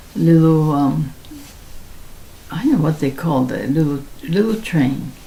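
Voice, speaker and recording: With an American accent, a woman talks in a very deep, low voice with ordinary pitch variation over noticeable background noise. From Seattle, then Japan. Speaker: elderly interviewee sharing life story. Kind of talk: oral history interview. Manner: halting, with many fillers.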